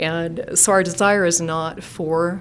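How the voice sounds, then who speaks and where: A woman's fairly low voice with fairly even intonation and audible room echo. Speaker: engineering consultant representing an applicant. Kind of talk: public hearing presentation. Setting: city council meeting chamber. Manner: hesitant, many fillers.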